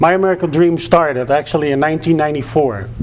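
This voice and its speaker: A fairly high-pitched man with a Dutch accent at a fairly quick pace, amid noticeable background noise. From Netherlands. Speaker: public speaker, former flight school owner. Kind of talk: public speech.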